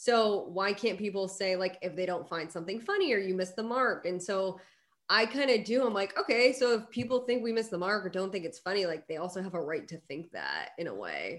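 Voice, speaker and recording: In a plain, everyday voice, a woman speaks at a fairly quick pace with medium pitch and ordinary pitch variation. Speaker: actor and content creator. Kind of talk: casual chat.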